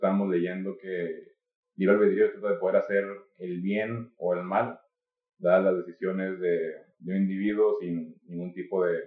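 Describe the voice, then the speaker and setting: A man speaking at a very slow pace. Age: 20s. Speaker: marketing and media worker. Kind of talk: casual philosophical discussion. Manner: halting with repetitions.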